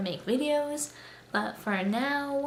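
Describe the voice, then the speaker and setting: A woman speaks quietly at a high pitch with lively intonation, over noticeable background noise and audible room echo. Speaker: booktuber. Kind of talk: casual vlog monologue. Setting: new apartment, home. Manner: quiet, subdued.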